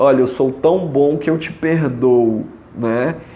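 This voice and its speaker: Medium pitch from a man, plus audible room echo. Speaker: family constellation therapist. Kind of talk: live stream talk. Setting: Instagram live.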